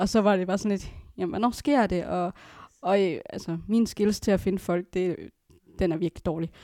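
A woman's dark, mellow tone at a medium pitch. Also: ordinary pitch variation, moderate pace. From Aalborg area, Denmark. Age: 20s. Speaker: adoptee. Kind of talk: casual chat.

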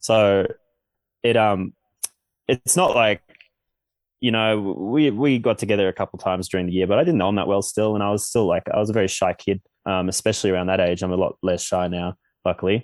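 A man with an Australian accent speaks at a fairly low pitch with ordinary variation. The sound is dry and close with no echo, and he leaves long, frequent pauses. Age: 20s. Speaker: Olympic snowboarder. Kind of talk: casual interview.

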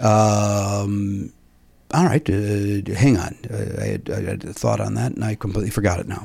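Speaking fairly slowly with a slight Chicago accent, a man uses a fairly low pitch and ordinary pitch variation. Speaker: podcast host. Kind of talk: casual chat.

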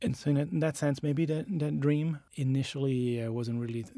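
A man talks with a dark, mellow tone. His intonation is lively. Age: 40s. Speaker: designer. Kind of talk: interview.

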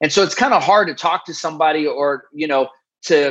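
A man uses a normal speaking voice and talks at a fairly quick pace. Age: 40s. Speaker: army veteran and author. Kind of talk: interview.

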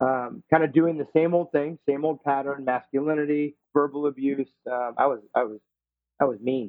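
Using a plain, everyday voice, a man speaks at a moderate pace with a medium pitch and fairly even intonation. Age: 40s. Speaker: life and running coach. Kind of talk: interview conversation.

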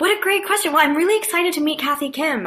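With an American accent, the speaker's tone comes across bright and sharp. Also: woman. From US West Coast, San Francisco Bay Area. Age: 20s. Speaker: comedy writer and performer. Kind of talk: casual interview.

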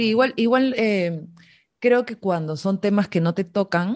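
A woman's plain, everyday voice at a moderate pace, lively intonation over a quiet background. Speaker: podcast host. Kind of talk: interview conversation.

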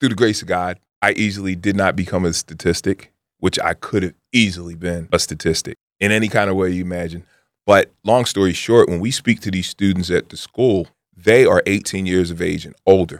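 A man's very deep, low pitch at a fairly quick pace with fairly even intonation, dry and close with no echo, on a very clean recording with a silent background. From Philadelphia. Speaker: trade school owner and community organization co-founder. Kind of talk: radio interview.

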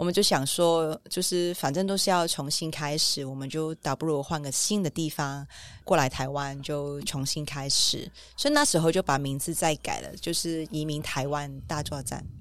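On a very clean recording with a silent background, a woman with a Hong Kong accent speaks at a moderate pace with a very deep, low pitch and fairly even intonation. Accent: Hong Kong Cantonese. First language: Cantonese (speaking Chinese). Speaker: restaurant owner and parent. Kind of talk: interview conversation.

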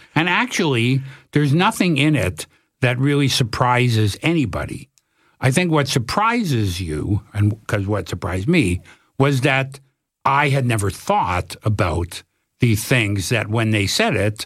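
With a Canadian accent, a man speaks at a medium pitch and a fairly slow pace. His somewhat breathy voice swings very widely in pitch. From Canada, Toronto. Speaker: documentary filmmaker. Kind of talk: casual interview.

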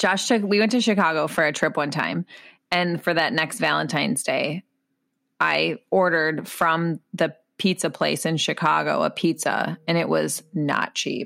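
Speaking fairly slowly with very even loudness, a woman with a Minnesotan accent is heard in a very clean recording with a silent background. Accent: Minnesotan Midwest accent, noticeable. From Minnesota, US Midwest. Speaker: podcast co-host. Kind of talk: casual chat.

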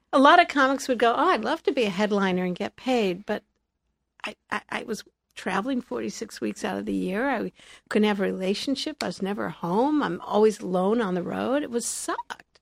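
A woman with an American accent speaks at a fairly quick pace in an animated tone, her fairly high pitch carrying lively intonation and vocal fry. The recording is very clean with a silent background and a dry, close sound with no echo. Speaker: stand-up comedian, magician, author and speaker. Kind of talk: casual interview chat, storytelling. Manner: animated, humorous.

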